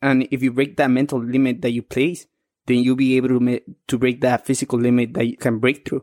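With a strong Mexican accent, a man speaks at a fairly quick pace in monotone, flat intonation. The sound is dry and close with no echo. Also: medium pitch for a man. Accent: thick Mexican Spanish accent in English. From Mexico. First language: Spanish. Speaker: amateur boxer. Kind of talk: interview conversation.

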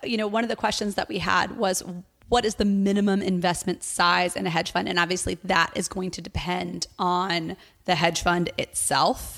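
In a very clean recording with a silent background, a woman of medium pitch talks at a moderate pace with vocal fry and fairly even intonation. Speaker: podcast co-host. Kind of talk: interview; casual chat.

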